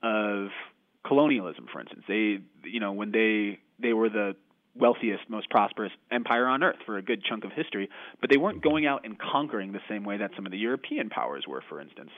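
Here is a man with a plain, everyday voice, a fairly low pitch and an American accent. He talks fairly quickly with lively intonation and big swings in loudness. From United States. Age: 20s. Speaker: author. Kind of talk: interview.

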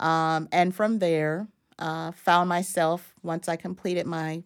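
A woman with an American accent and a plain, everyday voice speaks at a fairly low pitch and fairly slow pace, with fairly even intonation, in a very clean recording with a silent background. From Florida, US South (Madison County). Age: 50s. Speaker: history professor. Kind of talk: interview. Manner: many fillers (uh, um) and repetitions.

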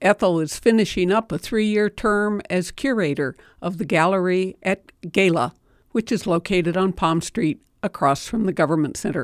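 In an ordinary speaking voice, a woman of medium pitch talks at a moderate pace with ordinary pitch variation, the very clean recording dry and close with no echo and a silent background.

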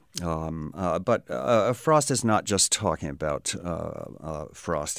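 With lively intonation and vocal fry, a man speaks at a very deep, low pitch. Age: 60s. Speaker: stone wall builder and author. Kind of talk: interview. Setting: studio.

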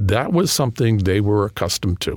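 In a New England accent, a man speaks at a fairly low pitch. His pace is moderate and his pitch varies in an ordinary way. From New England (Boston area). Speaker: history professor and author. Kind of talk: interview. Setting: studio.

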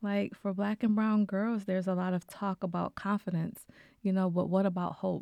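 A woman with an American accent speaks at a moderate pace in a dark, mellow, medium-pitched voice, monotone and flat with very even loudness, dry and close with no echo in a very clean recording with a silent background. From Buffalo, New York (Cold Spring area). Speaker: mentoring program founder. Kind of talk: radio interview.

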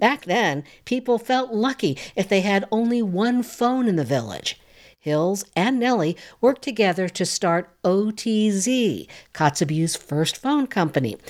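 A woman with an unremarkable speaking voice and medium pitch talks at a fairly slow pace, her intonation lively and her loudness very even. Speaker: radio reporter. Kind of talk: news feature reading, tribute report. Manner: measured, formal, warm.

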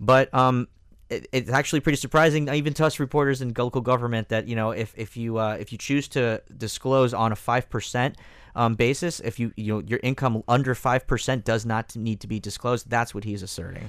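The recording is very clean, and the background is completely silent. A man speaks in a mid-range pitch that varies in an ordinary way. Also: fairly quick pace. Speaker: newspaper investigative reporter. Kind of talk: radio panel discussion. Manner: halting, many filler words.

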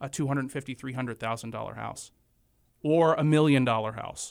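Very clean recording, silent background. A man talks in a normal speaking voice at a moderate pace with fairly even intonation. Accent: American. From western North Carolina (Morganton, foothills). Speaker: county commissioner and lawyer. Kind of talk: interview. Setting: radio studio.

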